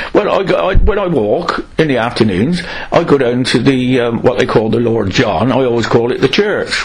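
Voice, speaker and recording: A man with a West Country accent, medium pitch and very wide pitch swings, amid audible room echo and noticeable background noise. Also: moderate pace. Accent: Gloucestershire West Country English. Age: 70s. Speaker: local resident interviewee. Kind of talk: oral history interview.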